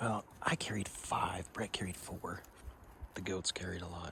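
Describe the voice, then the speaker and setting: A man holds a moderate pace with noticeable background noise all around. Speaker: hunter and outdoor vlogger. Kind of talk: outdoor vlog narration. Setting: outdoors in the backcountry. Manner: whispering.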